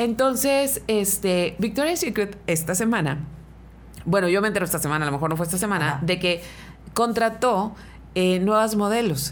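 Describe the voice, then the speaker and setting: A woman with a medium pitch speaks at a moderate pace with lively intonation and very even loudness. Room echo is audible around her. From Mexicali, Baja California, Mexico. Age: 40s. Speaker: radio host. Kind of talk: casual chat. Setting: studio.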